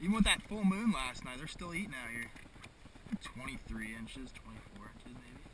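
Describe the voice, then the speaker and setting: Noticeable background noise behind a man with a fairly high pitch for a man. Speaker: kayak angler. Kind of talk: casual outdoor commentary while fishing. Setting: outdoors. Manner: excited.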